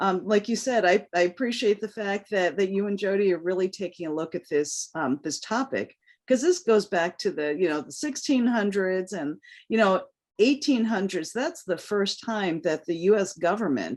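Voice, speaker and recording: Over a quiet background, a woman talks at a moderate pace and medium pitch with lively intonation. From US, New York City. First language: Cantonese. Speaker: diversity and inclusion strategist. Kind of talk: interview.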